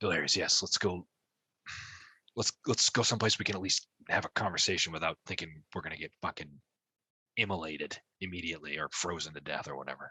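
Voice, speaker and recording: A man puts on a raspy character voice with a very deep, low pitch and ordinary pitch variation. He talks at a very fast pace yet leaves long, frequent pauses. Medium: actual play.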